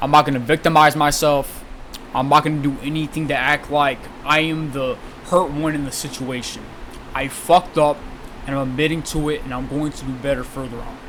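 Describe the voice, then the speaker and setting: Noticeable background noise runs under the recording. A man speaks in a fairly high pitch with monotone, flat intonation. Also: fairly quick pace. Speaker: online content creator. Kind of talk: apology video monologue. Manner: stuttering, halting; unusual way of talking.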